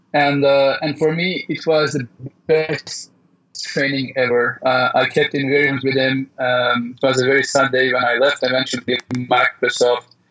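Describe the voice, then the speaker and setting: In a monotone, flat intonation, a man talks at a fairly high pitch. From raised by French and British diplomat parents. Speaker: tech company founder and CEO. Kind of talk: interview.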